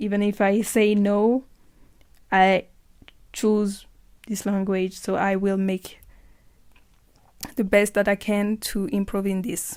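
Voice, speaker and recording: A woman at a medium pitch with a French accent, talking very slowly in a flat monotone with long, frequent pauses, on a very clean recording with a silent background. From France. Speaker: podcaster. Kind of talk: casual monologue. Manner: halting.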